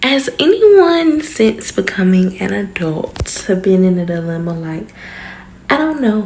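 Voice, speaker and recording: Loud speech with very wide pitch swings over noticeable background noise. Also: woman. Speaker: vlogger. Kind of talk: casual vlog talk. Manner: quieter than usual, inside voice; normally loud.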